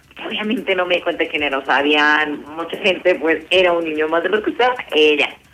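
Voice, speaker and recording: A woman at a moderate pace, fairly low in pitch, with noticeable background noise. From Colombia, Medellín. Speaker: university student. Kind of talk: casual chat.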